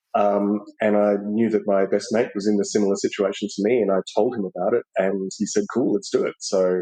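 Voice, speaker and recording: A man with an Australian accent at a fairly quick pace, with hardly any pauses. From Australia, Melbourne. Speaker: podcast guest, expat. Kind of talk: interview conversation.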